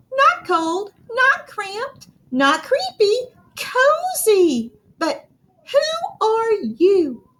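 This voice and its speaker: Using a squeaky, put-on character voice, a woman speaks at an extremely high pitch with very wide pitch swings. She talks at a very slow pace. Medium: read story.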